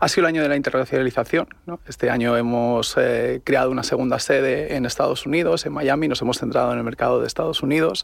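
A man's very fast speech with hardly any pauses, over noticeable background noise. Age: young. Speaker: tech startup operations director. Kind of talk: radio interview.

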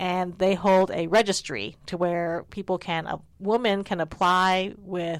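With a normal speaking voice, a woman speaks in an American accent, fairly low in pitch with fairly even intonation. The recording is very clean, with a silent background. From United States, Chinese American family. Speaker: art professor. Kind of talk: casual interview. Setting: art studio.

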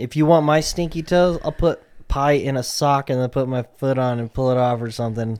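This man has a plain, everyday voice, talking at a fairly quick pace with ordinary pitch variation. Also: medium pitch for a man. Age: 40s. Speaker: podcast co-host. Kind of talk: casual chat.

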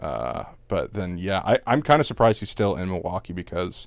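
Lively intonation marks this man's very deep, low voice. Vocal fry runs through it. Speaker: podcast host. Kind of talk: casual chat.

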